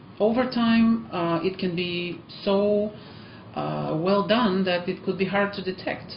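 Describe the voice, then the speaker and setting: Over noticeable background noise and audible room echo, a woman with a non-native accent speaks fairly slowly. Her pitch is medium, with ordinary variation. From Eastern Europe. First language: Eastern European language. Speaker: language teacher. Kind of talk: vlog talk to camera. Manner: hesitant with frequent fillers.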